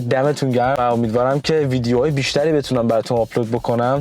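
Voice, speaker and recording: Music runs in the background. The talking goes along at a fairly quick pace. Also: man. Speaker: vlogger. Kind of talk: casual vlog talk to camera.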